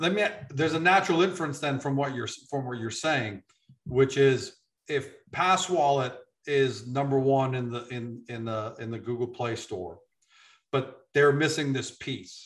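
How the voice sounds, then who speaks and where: This man's voice is somewhat breathy, pitched in the medium range. He keeps a moderate pace and ordinary pitch variation. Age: 50s. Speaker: business interviewer. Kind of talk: interview.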